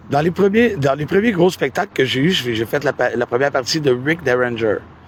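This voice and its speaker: A man with a Quebec accent talks at a fairly quick pace with lively intonation. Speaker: musician. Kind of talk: interview. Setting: outdoors by a river. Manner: hesitant, many fillers.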